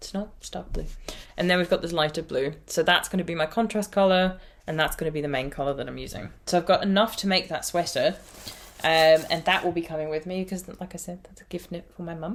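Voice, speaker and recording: Speaking at a very fast pace, a woman uses a fairly low pitch with ordinary pitch variation and big swings in loudness. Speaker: knitting podcaster. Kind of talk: casual podcast chat. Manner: chatty, with fillers.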